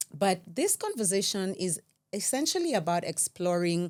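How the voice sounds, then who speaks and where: A woman's normal speaking voice at medium pitch and a moderate pace. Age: 40s. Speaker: podcast host. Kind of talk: casual chat. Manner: light-hearted, warm.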